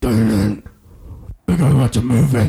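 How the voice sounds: This man uses a put-on character voice at medium pitch. His pace is moderate.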